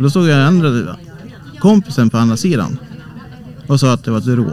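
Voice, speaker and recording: The man's voice sits at a medium pitch and swings very widely. Noticeable background noise is audible. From Sweden, Hälsingland (Bollnäs). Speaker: amateur ghost investigator. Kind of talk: casual interview. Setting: small cabin on a cruise ship.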